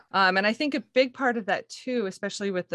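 A speaker with an American accent talks in a bright, sharp tone with lively intonation, the sound dry and close with no echo and the background quiet. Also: woman. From Montana, US. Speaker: classical singer. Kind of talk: interview.

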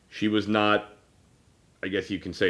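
A man talks loud at a moderate pace. His pitch is fairly low. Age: 30s. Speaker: podcast host. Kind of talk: casual chat.

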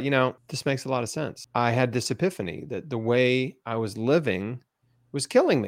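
In a very clean recording with a silent background, a man speaks in a normal speaking voice at medium pitch, with ordinary pitch variation and a moderate pace. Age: 40s. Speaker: cancer survivor and patient advocate. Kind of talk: interview.

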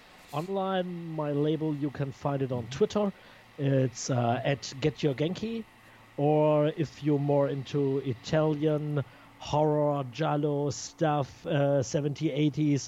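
A man with a non-native accent speaks at a very slow pace in a fairly high pitch with ordinary pitch variation. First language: not English. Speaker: record label founder. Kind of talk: interview. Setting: Skype call. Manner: halting.

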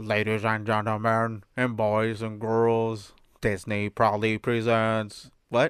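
A man puts on a robotic character voice at medium pitch, flat and monotone. He goes at a fairly slow pace over a quiet background. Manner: robotic synthesized.

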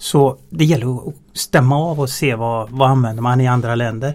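At a fairly slow pace, a man talks in a normal speaking voice with a medium pitch and ordinary pitch variation. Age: 50s. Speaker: transport efficiency engineer. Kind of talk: interview. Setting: studio.

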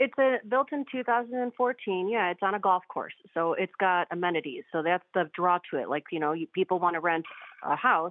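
This woman has an unremarkable speaking voice at medium pitch, with lively intonation and a moderate pace. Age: 40s. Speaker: caller. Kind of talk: radio call-in question. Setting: phone call.

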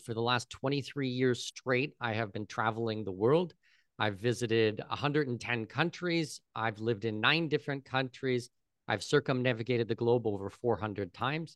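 Against a quiet background, a man with a Canadian accent uses a plain, everyday voice at medium pitch with ordinary pitch variation. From Canada, southwestern Ontario. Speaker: expat consultant. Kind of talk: interview conversation.

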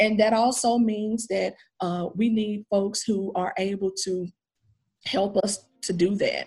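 Speaking at a very slow pace, a woman sounds somewhat breathy, with an American accent. Her intonation stays fairly even. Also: medium pitch for a woman. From Nashville, Tennessee (US South). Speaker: minister and community center leader. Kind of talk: interview.

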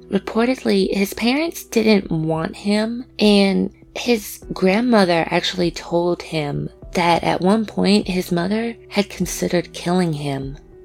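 Music plays in the background as a woman talks at a very slow pace. Her pitch is medium, with ordinary variation. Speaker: podcast host. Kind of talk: scripted true-crime narration. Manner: pronounces R's very hard.

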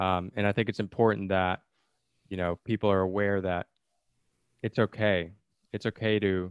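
Monotone, flat intonation runs through speech broken by long, frequent pauses. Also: man. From outside the US. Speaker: podcast host. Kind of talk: casual interview.

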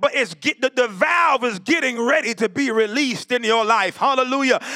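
A man projects a raised voice at an extremely high pitch with a bright, sharp tone, in a dry, close sound with no echo. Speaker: preacher. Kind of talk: sermon. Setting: church. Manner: animated, preaching in full flow, call-and-response with congregation; loud, exhorting.

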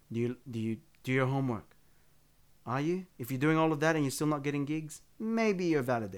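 In an Australian accent, a man speaks at a fairly quick pace with ordinary pitch variation, in a very clean recording with a silent background. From Western Sydney, Australia. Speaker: bassist and musical director. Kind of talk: casual interview. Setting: home studio. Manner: halting.

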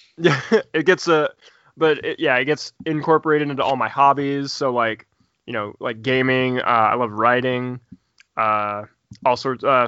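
A man speaks with a Midwestern American accent at a medium pitch. His pace is moderate and his intonation fairly even. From Indiana. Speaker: podcast host, tabletop gamer. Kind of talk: casual chat. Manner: halting.

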